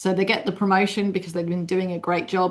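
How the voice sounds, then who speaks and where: A woman with a British accent at medium pitch against a quiet background. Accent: UK. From UK. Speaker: leadership consultant. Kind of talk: webinar presentation.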